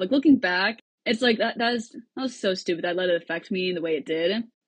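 A woman's voice, somewhat breathy, moves along at a fairly quick clip. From US Midwest, Cedar Rapids, Iowa. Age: 20s. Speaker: singer-songwriter and student. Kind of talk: podcast interview.

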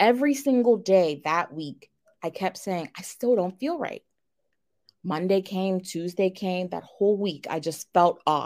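In an ordinary speaking voice, a woman talks at a fairly slow pace with medium pitch and lively intonation, on a very clean recording with a silent background. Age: 30s. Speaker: abuse survivor, tax office manager. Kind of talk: interview testimony.

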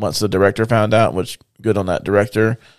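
A man with a fairly low pitch uses a plain, everyday voice at a fairly quick pace. The recording is very clean, with a silent background. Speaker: podcast co-host. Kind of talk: casual faith discussion.

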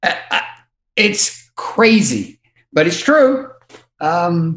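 A man speaks at a high pitch and a very slow pace. His pitch swings very widely. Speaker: music artist manager. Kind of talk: podcast interview. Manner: halting.

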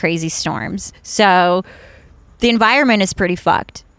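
A woman speaks with an American accent in a normal speaking voice at a medium pitch. The recording is very clean, the background silent. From Ukraine, then Washington DC area from age 11. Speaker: stand-up comedian. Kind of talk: casual chat.

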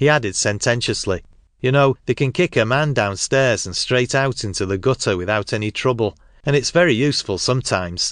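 This man has a normal speaking voice at a medium pitch, with ordinary pitch variation and a fairly quick pace. The sound is dry and close with no echo, against a quiet background. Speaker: audiobook narrator. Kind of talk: literary audiobook reading, first-person Victorian narration. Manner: measured, storytelling pace, atmospheric; shifts into rough cockney-style voices for quoted dialogue and song.

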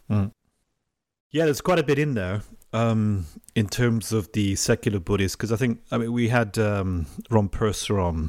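With lively intonation and a fairly low pitch, a man speaks at a moderate pace with long, frequent pauses, in a very clean recording with a silent background. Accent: English. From England. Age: 40s. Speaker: podcast host. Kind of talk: interview.

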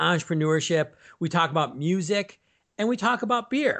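A man with a Midwestern American accent, at a moderate pace with lively intonation. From US Midwest. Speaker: author, speaker and sales coach. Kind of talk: casual interview.

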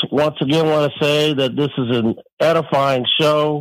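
Fairly high in pitch, a man talks at a very slow pace. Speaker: caller. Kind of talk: casual chat.

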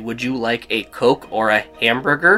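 Faint music plays behind a man at a moderate pace. He puts on a character voice with an American accent. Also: medium pitch for a man, ordinary pitch variation.

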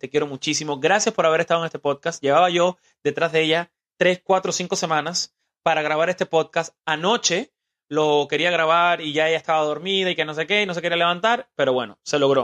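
The recording has a quiet background and a dry, close sound with no echo. A man with an ordinary speaking voice talks fairly quickly at a fairly high pitch, with ordinary pitch variation. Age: 20s. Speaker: podcast host. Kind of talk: casual interview with his mother. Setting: home studio.

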